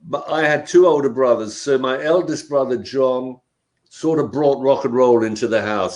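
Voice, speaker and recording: This man speaks with a London accent. His pace is moderate and his pitch variation ordinary. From South London, England. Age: 70s. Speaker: punk rock musician. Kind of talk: interview.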